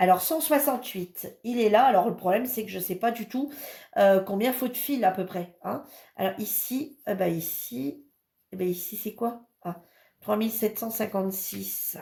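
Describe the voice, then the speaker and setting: A woman with a fairly high, somewhat breathy voice and a dark, mellow tone speaks at a fairly slow pace, her intonation lively and her loudness swinging widely. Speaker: crafts hobby youtuber. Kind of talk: product review and unboxing. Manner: hesitant, many fillers.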